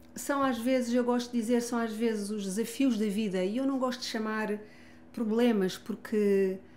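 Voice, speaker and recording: Speaking with a European Portuguese accent, a woman talks at a fairly slow pace in a fairly high pitch, her intonation fairly even. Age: 60s. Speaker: family constellation therapist and author. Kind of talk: interview testimony. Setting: gym.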